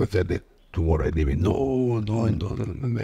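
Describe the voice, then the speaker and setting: A man with a Peruvian accent speaks at a moderate pace with lively intonation. His voice is somewhat breathy, with a dark, mellow tone. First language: Spanish. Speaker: football coach and former player; football coach. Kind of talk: casual interview chat. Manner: halting, non-native English. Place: home room. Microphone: studio mic.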